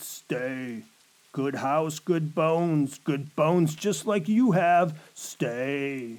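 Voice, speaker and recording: At a very slow pace, a put-on character voice speaks at a middle pitch. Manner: eerie.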